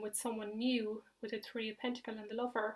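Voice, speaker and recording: This woman's fairly high voice holds a monotone, flat intonation. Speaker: tarot reader. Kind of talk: tarot reading monologue. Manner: fast; hesitant, many fillers.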